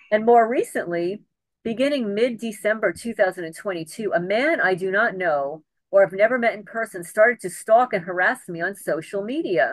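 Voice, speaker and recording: A woman's medium-pitched voice at a moderate pace, with lively intonation and big swings in loudness. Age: 60s. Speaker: homesteading YouTuber and harassment victim. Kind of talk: interview, partly reading a prepared letter. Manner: halting.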